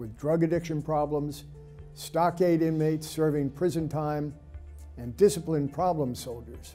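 Faint music sits in the background. Against it, a man talks at a moderate pace. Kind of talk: prepared presentation to camera. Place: studio.

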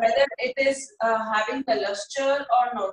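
A woman with an Indian accent at a fairly slow pace, audible room echo around a quiet background. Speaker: school teacher. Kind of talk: online class lecture. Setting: video call. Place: home room. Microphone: video call.

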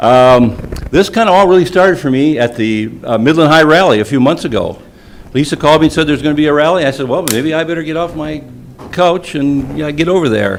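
Over noticeable background noise, a man with an American accent talks very fast in a fairly high pitch. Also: ordinary pitch variation. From Michigan. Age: 70s. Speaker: public commenter at school board meeting. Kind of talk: public comment speech. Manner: animated.

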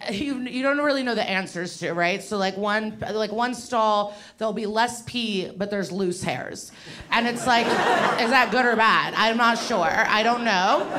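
Over loud background noise, a woman speaks at a fairly slow pace with ordinary pitch variation. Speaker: stand-up comedian. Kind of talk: stand-up comedy routine. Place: workshop. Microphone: handheld.

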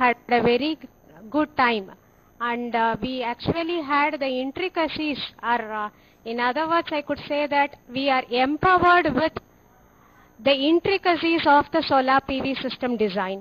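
Fairly slow delivery with long, frequent pauses and ordinary pitch variation. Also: woman. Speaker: teacher participant. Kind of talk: formal feedback speech. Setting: video link from remote center.

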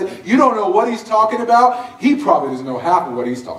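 A man speaks with audible room echo. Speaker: guest. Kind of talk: testimony talk with humor. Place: church. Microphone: camera far.

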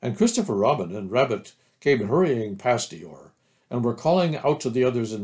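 Someone is reading aloud in a natural voice. The intonation is lively, and the background is quiet.

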